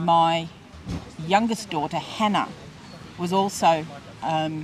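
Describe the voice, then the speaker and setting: Over noticeable background noise, a woman with an Australian accent speaks very slowly at a fairly low pitch. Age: 60s. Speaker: interviewee, former hospitality worker. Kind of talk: interview testimony. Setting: outdoor market. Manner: hesitant, with fillers and repetitions.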